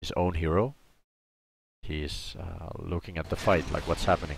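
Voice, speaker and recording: A man's very deep, low voice at a fairly slow pace with ordinary pitch variation. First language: not English. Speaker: streamer and game analyst. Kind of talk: gameplay analysis commentary. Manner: halting, self-correcting.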